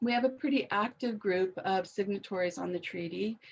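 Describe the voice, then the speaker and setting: Speaking at a moderate speed, a woman uses an ordinary speaking voice of medium pitch that varies in an ordinary way. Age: 60s. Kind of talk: webinar talk.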